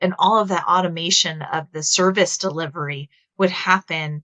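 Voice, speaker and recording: A woman's fairly low voice in a Texas accent, with fairly even intonation at a moderate pace. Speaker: HR technology executive. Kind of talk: webinar discussion.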